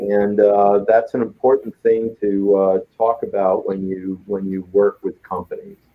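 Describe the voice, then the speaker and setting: Here is a man with an unremarkable speaking voice. He talks fairly slowly, at a fairly low pitch. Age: 60s. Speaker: business consultant. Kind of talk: talk show interview.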